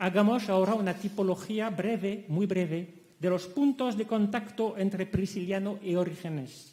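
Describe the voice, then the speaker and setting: In a French accent, the speaker goes at a fairly slow pace with ordinary pitch variation. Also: man. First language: French (speaking Spanish). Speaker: academic conference speaker. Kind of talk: conference lecture. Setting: conference hall.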